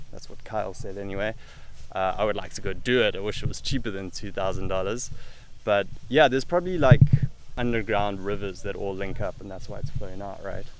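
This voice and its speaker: The man has an unremarkable speaking voice with a fairly low pitch, recorded dry with no echo over light background noise. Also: ordinary pitch variation, fairly quick pace. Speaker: travel vlogger. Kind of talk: casual vlog chat. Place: waterside. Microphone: phone near.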